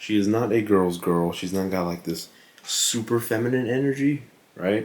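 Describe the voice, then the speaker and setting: Quiet but with lively intonation, a man speaks at a fairly slow pace. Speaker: fitness vlogger and movie reviewer. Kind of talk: casual vlog movie review. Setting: at home late at night. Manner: quiet, hushed.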